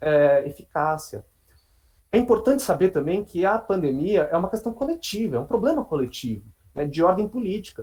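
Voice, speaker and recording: This man has a high pitch, a dark, mellow tone, and very wide pitch swings. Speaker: psychologist. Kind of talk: online talk to colleagues. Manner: fast.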